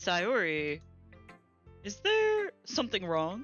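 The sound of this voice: A woman performs a put-on character voice at a medium pitch. She speaks at a very slow pace with faint music in the background.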